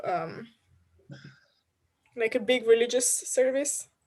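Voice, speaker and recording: A woman speaks with a Slovenian accent at a fairly slow pace. Her pitch is high, and the background is quiet. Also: long, frequent pauses. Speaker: culture industry worker. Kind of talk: casual discussion.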